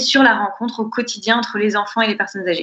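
A woman talking very fast with fairly even intonation. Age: 20s. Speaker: entrepreneur, co-founder of intergenerational nurseries. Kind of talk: podcast interview.

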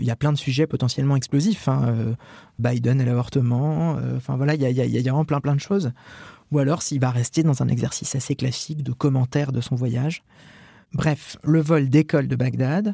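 A man's medium-pitched, somewhat breathy voice with a dark, mellow tone, ordinary pitch variation and a moderate pace, in a dry, close sound with no echo. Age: 30s. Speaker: journalist, Vatican correspondent. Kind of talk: first-person reportage narration.

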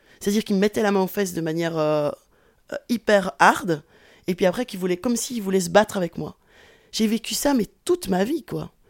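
A woman at a medium pitch speaks at a fairly quick pace with ordinary pitch variation and long, frequent pauses, on a very clean recording with a silent background. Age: 40s. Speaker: sociology professor. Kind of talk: interview testimony.

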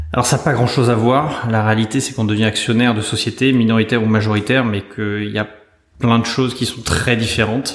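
Over noticeable background noise, a man talks very fast in a flat monotone. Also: medium pitch for a man. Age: 40s. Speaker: venture capital investor. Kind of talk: interview. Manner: halting with repeated words.

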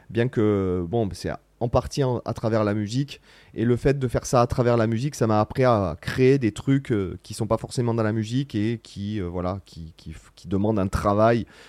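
A man's medium-pitched voice at a moderate pace with ordinary pitch variation, on a very clean recording with a silent background and a dry, close sound with no echo. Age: 40s. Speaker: guitarist and online content creator. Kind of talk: casual Q&A vlog. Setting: studio. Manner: hesitant, many fillers.

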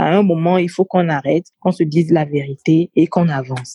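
A woman with a very deep, low pitch speaks at a moderate pace in a dark, mellow, somewhat breathy tone with fairly even intonation and a dry, close sound with no echo. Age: 30s. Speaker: communications officer. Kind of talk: interview.

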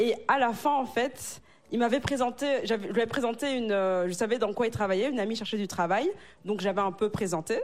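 Ordinary pitch variation in a plain, everyday voice. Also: woman, fairly high pitch for a woman, fairly quick pace. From Africa. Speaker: married churchgoer sharing dating story. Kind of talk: casual panel discussion.

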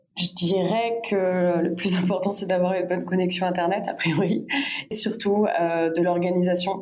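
Amid audible room echo, a woman of medium pitch speaks fairly slowly in a monotone, flat intonation at very even loudness. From France, Bordeaux. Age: 20s. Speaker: entrepreneur. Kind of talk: interview.

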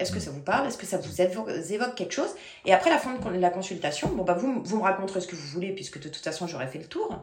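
A woman's very fast speech with vocal fry and very wide pitch swings, plus audible room echo. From France, Paris region (Versailles). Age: 40s. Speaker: medium. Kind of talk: interview.

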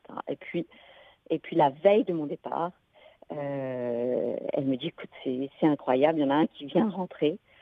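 At a fairly slow pace, a woman with a very deep, low pitch speaks with ordinary pitch variation. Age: 50s. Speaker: geneticist, researcher. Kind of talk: testimony in radio interview.

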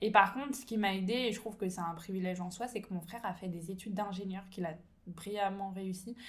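A woman speaks at a medium pitch, somewhat breathy, with ordinary pitch variation. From France, Ain near Lyon. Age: 20s. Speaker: entrepreneur and business coach. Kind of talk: casual interview.

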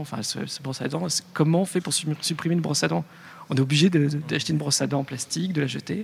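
Somewhat breathy and very fast, a man talks in a fairly high pitch with ordinary pitch variation. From Lyon, France. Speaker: radio podcast producer. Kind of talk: panel discussion.

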